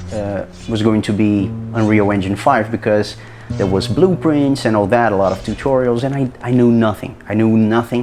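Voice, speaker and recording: A man with a Brazilian Portuguese accent speaks at a moderate pace in a medium pitch with ordinary pitch variation. Noticeable background noise is present. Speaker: hobbyist game developer, content creator. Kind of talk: casual video log. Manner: halting, many repetitions and false starts.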